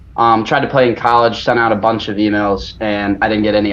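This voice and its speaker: Amid noticeable background noise, a man with an American accent and medium pitch speaks at a fairly quick pace. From Virginia, US. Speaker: golf YouTuber. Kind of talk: interview. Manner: halting.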